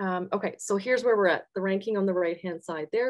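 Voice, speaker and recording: With a Canadian accent, a woman talks at a medium pitch with ordinary pitch variation. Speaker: engineering professor and researcher. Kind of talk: academic webinar lecture. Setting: video call webinar with shared slides. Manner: fast.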